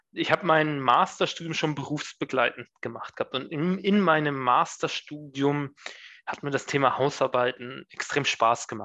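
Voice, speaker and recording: This man has a bright, sharp tone and a fairly high pitch with ordinary pitch variation. He talks at a moderate pace over a quiet background. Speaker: management consultant. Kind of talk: interview. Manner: hesitant, many fillers.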